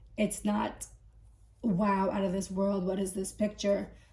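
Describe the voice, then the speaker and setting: This woman has a medium pitch, a dark, mellow tone and vocal fry, and she speaks at a moderate pace. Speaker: tech reviewer. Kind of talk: casual talk to camera.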